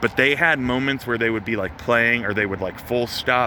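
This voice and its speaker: Noticeable background noise behind a man at medium pitch, moderate pace and ordinary pitch variation. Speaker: touring musician vlogger. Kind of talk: casual vlog. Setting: outdoors by a venue. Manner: filler-heavy, stammering.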